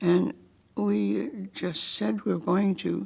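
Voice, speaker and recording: A woman talks with an American accent and vocal fry. Her fairly low pitch swings very widely. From Connecticut, US (Putnam). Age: 90s. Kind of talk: oral history interview.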